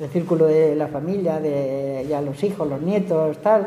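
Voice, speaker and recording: A woman with a very deep, low pitch talks at a fairly slow pace amid audible room echo. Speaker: elderly interviewee. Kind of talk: casual interview.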